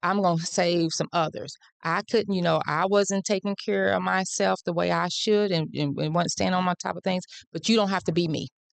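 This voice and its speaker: A woman with a slight Southern US accent at a moderate pace, in a dry, close sound with no echo. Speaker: nonprofit representative. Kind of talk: interview.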